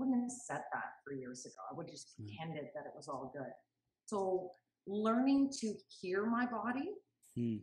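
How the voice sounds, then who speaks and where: A woman at medium pitch with vocal fry, moderate pace, big swings in loudness, very wide pitch swings, and long, frequent pauses. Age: 50s. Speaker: entrepreneur, beauty consultant, interview guest. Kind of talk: interview answer.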